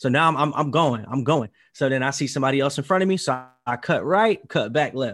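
An unremarkable speaking voice at a fairly quick pace. Pitch varies in an ordinary way over a quiet background. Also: man, fairly high pitch for a man. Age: 20s. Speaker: podcast host. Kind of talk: interview. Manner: casual.

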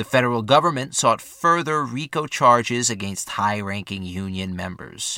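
This man has an unremarkable speaking voice at medium pitch, with lively intonation and a moderate pace. He hardly pauses, and the recording is very clean with a silent background. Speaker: podcast narrator. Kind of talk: history documentary narration. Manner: formal; measured, steady.

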